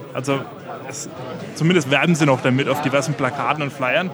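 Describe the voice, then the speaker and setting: A man with a Franconian accent talks at a moderate pace, his pitch fairly high and his intonation fairly even. Noticeable background noise runs under the clip. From Franconia, Germany. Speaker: community network volunteer. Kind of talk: interview.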